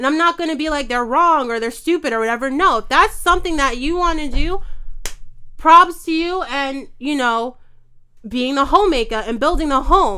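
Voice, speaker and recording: A woman with a high, bright, sharp voice speaks in an animated tone, raising and projecting her voice. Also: lively intonation, moderate pace. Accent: American. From New York. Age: 20s. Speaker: chef. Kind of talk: heated debate.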